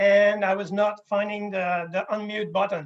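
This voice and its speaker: A man speaks in a high voice with a Quebec accent. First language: French. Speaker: wildlife scientist. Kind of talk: conference presentation. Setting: video call. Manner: halting.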